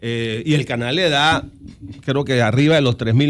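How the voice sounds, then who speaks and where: The speaker is a man at a medium pitch with ordinary pitch variation. His pace is moderate. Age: 60s. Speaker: lawyer and political analyst. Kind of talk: radio interview. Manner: halting, many false starts.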